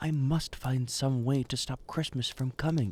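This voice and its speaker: This man puts on a growling character voice at medium pitch, talking at a moderate pace with fairly even intonation. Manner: growling, grumpy, scheming.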